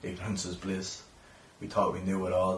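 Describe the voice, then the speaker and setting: Noticeable background noise sits behind a man speaking at a moderate pace with an Irish accent. His very deep, low voice stays monotone and flat. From Ireland. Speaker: poet. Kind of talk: spoken word poetry performance.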